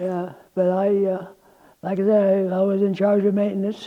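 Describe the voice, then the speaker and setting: This man speaks with an American accent at a moderate pace. His voice sits high in pitch. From Iowa. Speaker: tradesman. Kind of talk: oral history interview. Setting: museum. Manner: halting.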